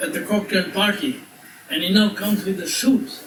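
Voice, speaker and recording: This man's voice sits at a high pitch with ordinary pitch variation. Audible room echo and noticeable background noise surround it. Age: 80s+. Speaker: resort owner giving birthday speech. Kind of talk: birthday speech to guests. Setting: party with audience.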